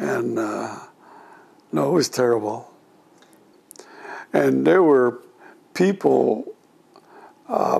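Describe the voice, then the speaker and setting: Speaking with an American accent at a very slow pace, a man swings his pitch very widely and leaves long, frequent pauses, with noticeable background noise behind him. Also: medium pitch for a man. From California, US (Gilroy). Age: 80s+. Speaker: war veteran. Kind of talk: oral history interview. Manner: halting.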